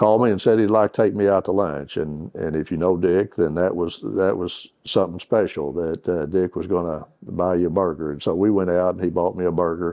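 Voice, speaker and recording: This man has a very deep, low voice and an Arkansas accent. His pace is fairly quick, and his intonation stays fairly even. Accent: Southern US (Arkansas). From Northeast Arkansas. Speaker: retired water utility executive. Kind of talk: oral history interview. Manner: halting, with many fillers.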